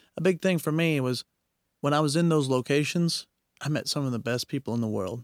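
A man with a normal speaking voice talks at a fairly quick pace with lively intonation, the sound dry and close with no echo, in a very clean recording with a silent background. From Knoxville, Tennessee, then Oklahoma. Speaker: traveler and adventurer. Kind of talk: casual interview chat.

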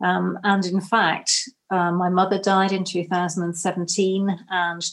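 With a southern English accent, a woman speaks at a fairly low pitch in monotone, flat intonation. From Cornwall, England. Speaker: novelist and publisher. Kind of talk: interview.

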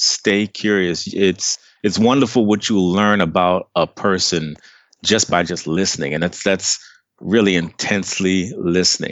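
The speaker has an American accent and a fairly slow pace. The intonation is fairly even. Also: man, very deep, low pitch for a man. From Maryland, near Washington DC (Trinidadian family). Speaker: life coach. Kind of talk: interview. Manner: casual.

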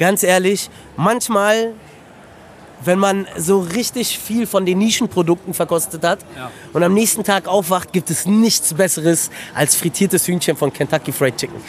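There is noticeable background noise. A man talks at a moderate pace in a high voice with ordinary pitch variation. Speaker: restaurant owner. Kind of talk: casual chat. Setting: outdoors.

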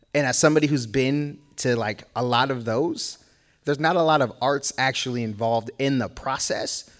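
A man with an American accent in a plain, everyday voice, medium pitch, fairly even intonation and a moderate pace, on a very clean recording with a silent background. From Boston. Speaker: hip hop artist. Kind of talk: panel discussion.

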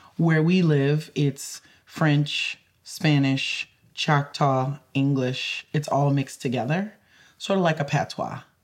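A woman in a Louisiana accent, very deep and low in pitch, at a very slow pace with very even loudness and fairly even intonation. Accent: Louisiana Southern US. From rural Louisiana creole community. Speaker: climate justice lawyer and advocate. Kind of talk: interview conversation. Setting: in Boston.

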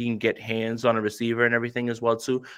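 A man's medium-pitched voice at a fairly quick pace over a quiet background. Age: 30s. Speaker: football podcaster. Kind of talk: casual chat. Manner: animated.

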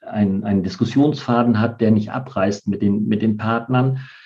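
A man talks fairly slowly in an ordinary speaking voice of medium pitch, his intonation fairly even. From Bremen. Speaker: party politician. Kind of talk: interview.

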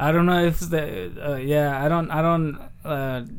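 Speaking fairly slowly with a Spanish accent, a man uses a fairly high pitch and fairly even intonation amid audible room echo. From Michoacán, Mexico. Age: 30s. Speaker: comedian. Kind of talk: casual chat.

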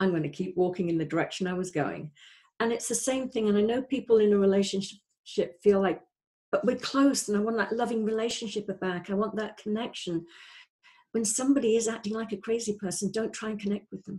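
A woman speaks at a fairly quick pace with a fairly high pitch and ordinary pitch variation. Her voice is somewhat breathy, with a dark, mellow tone. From North Wales. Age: 60s. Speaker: life coach. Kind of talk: interview.

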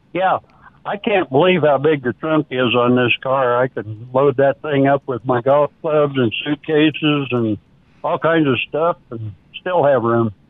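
Here a man has an unremarkable speaking voice with an American accent. His pitch is fairly high, his pitch variation ordinary, and his pace fairly slow. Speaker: caller. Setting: phone call.

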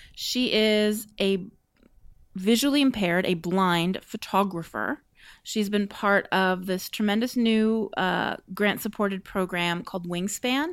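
A woman speaks in an ordinary speaking voice at medium pitch with ordinary pitch variation. Her fairly slow pace sits on a very clean recording with a silent background. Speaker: podcast host. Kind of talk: casual chat and interview.

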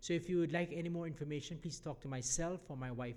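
Audible room echo fills the space as a man speaks with ordinary pitch variation. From Jamaica. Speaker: mission organization leader. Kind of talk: church address. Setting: church.

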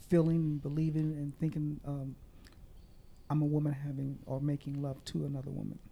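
A woman with an American accent speaks with a very deep, low pitch and a dark, mellow tone in monotone, flat intonation. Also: fairly quick pace. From Kansas City, Missouri. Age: 60s. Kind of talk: interview testimony. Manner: halting.

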